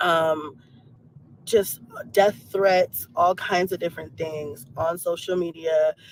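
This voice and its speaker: Amid noticeable background noise, a woman with a fairly low voice speaks at a fairly slow pace with ordinary pitch variation. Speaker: reaction YouTuber. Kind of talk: livestream monologue. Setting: in a car. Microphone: Bluetooth, cutting in and out.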